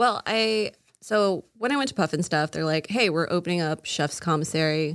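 Here is a woman with an American accent in a plain, everyday voice, pitched fairly low. She keeps a moderate pace and lively intonation. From Florida (Castleberry). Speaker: pastry chef. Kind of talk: casual chat.

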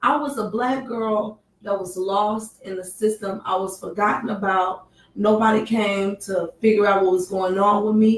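A woman with an ordinary speaking voice talks at a moderate pace and medium pitch, using fairly even intonation and hardly any pauses. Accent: American. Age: 30s. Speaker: sex trafficking survivor and advocate. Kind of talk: radio interview. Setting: studio.

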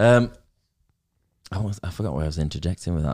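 A man speaks with a very deep, low pitch and lively intonation. The sound is dry and close, with no echo. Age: 30s. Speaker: podcast host. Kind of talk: casual interview chat. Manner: jokey, self-deprecating, swears.

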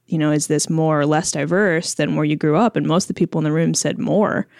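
A very deep, low-pitched woman with an American accent, fairly quick, with ordinary pitch variation, dry and close with no echo, on a very clean recording with a silent background. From Chicago, US Midwest. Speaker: food journalist. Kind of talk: casual interview.

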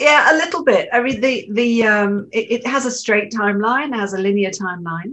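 A woman with a fairly high pitch and a bright, sharp tone talks at a moderate pace with hardly any pauses. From Switzerland (born in UK). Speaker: novelist. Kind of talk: interview.

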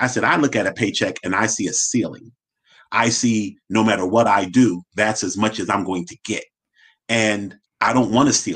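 A man with a normal speaking voice talks at a moderate pace and fairly low pitch. His pitch varies in an ordinary way against a quiet background. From West Philadelphia. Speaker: financial advisor, company founder. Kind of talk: casual interview.

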